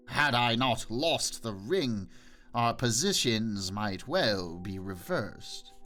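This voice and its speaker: A man performs a put-on character voice, growling at a medium pitch with lively intonation. He talks at a very slow pace while faint music plays in the background. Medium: read story. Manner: bitter, menacing.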